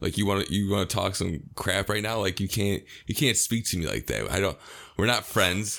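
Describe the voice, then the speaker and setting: A man with an American accent has a fairly low pitch, a bright, sharp tone and vocal fry. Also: ordinary pitch variation, moderate pace. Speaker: podcast co-host. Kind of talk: casual chat.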